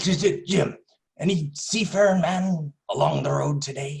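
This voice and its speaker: At a moderate pace, a man puts on a gruff, high-pitched character voice. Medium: stage play. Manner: gruff, stammering.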